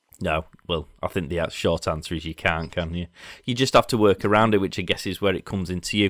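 With a Yorkshire accent and a very deep, low voice, a man talks at a fairly quick pace in a dry, close recording with no echo. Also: ordinary pitch variation. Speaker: podcast host. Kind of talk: casual interview. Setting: video call.

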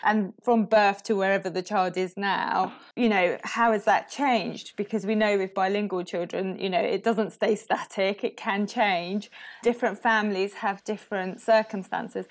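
A woman with a British accent speaks at medium pitch and a moderate pace in a flat monotone. The recording is very clean, with a silent background. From England. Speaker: speech and language therapist. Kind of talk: casual interview.

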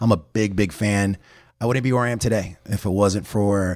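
In a very clean recording with a silent background, a man with an American accent and a plain, everyday voice talks at a fairly quick pace, his fairly low pitch held in fairly even intonation. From Miami area, Florida (Hialeah). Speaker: chamber of commerce president. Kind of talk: interview.

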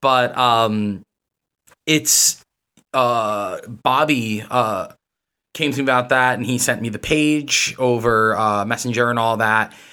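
A man with a New York accent speaks at a very slow pace. His medium-pitched voice has a bright, sharp tone and fairly even intonation. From New York City. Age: 30s. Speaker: comic art gallery manager. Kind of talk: casual chat.

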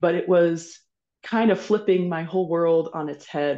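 Over a quiet background, a woman talks at a moderate pace with a fairly low pitch and fairly even intonation. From US Midwest, rural Kansas. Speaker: executive leadership coach. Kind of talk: podcast interview. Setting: video call.

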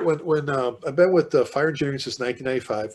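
Speech comes at a moderate pace with a Chicago accent. The recording is very clean, with a silent background. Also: man. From South Side of Chicago. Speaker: fire chief and author, leadership speaker. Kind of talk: casual interview conversation.

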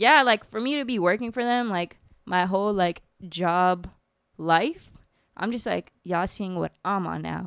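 A woman with an American accent speaks at a fairly slow pace and medium pitch, with ordinary pitch variation and a plain, everyday voice, on a very clean recording with a silent background and a dry, close sound with no echo. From Florida, US. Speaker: chef. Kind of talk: casual chat.

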